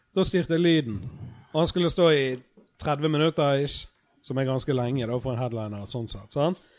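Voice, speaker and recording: A man with a plain, everyday voice talks at a fairly quick pace and a fairly high pitch, with ordinary pitch variation and big swings in loudness. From Norway, Bergen (Fyllingsdalen). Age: 30s. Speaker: podcast host, comedian. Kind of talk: casual chat. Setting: backstage at a venue.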